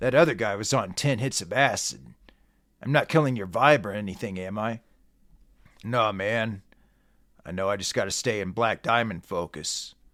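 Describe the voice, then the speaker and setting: In a raspy, put-on character voice, a man speaks at medium pitch and a moderate pace, with ordinary pitch variation and long, frequent pauses. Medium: read story. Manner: mellow, casual.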